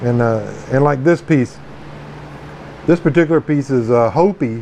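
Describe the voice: A man speaks at a medium pitch and a moderate pace, his tone slightly mellow and touched with vocal fry. His pitch varies in an ordinary way, over faint background noise.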